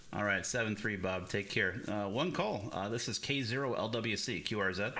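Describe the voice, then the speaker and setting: Audible room echo surrounds a man's bright, sharp tone. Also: fairly low pitch for a man, ordinary pitch variation, moderate pace. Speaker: ham radio operator, streamer. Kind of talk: live radio contact chat. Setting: radio shack live stream.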